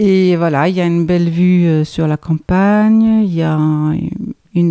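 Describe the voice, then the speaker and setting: Very slow speech in a Danish accent. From Denmark, Copenhagen. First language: Danish (speaking French). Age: 50s. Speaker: guesthouse owner. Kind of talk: casual chat. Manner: halting.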